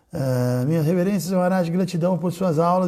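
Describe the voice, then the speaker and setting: Recorded very cleanly over a silent background, a man talks in a high pitch with a dark, mellow tone and ordinary pitch variation. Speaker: spiritual teacher. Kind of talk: casual chat. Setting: livestream. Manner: animated.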